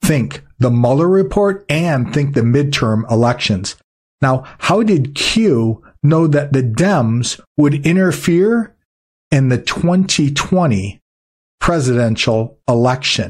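Speaking at a very slow pace, a man uses a fairly high pitch and lively intonation, sounding somewhat breathy while his loudness stays very even. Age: 50s. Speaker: news commentator and show host. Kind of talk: infomercial pitch mixed into a news-update monologue. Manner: earnest, persuasive, salesman-like.

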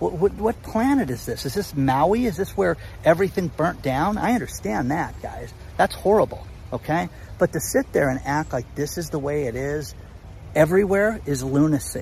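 Speaking at a moderate pace, a man lets his pitch swing very widely, with vocal fry running through his voice. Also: fairly high pitch for a man. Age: 50s. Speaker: YouTube commentator on real estate and economy. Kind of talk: casual monologue. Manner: animated.

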